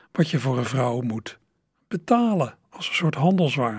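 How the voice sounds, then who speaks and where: A man speaks in a somewhat breathy voice. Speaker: radio host and music presenter. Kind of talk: radio presentation between songs.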